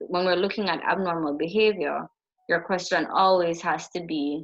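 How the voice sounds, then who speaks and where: A woman talks at a moderate pace in a normal speaking voice. Her pitch is fairly low. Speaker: psychology lecturer. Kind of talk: lecture.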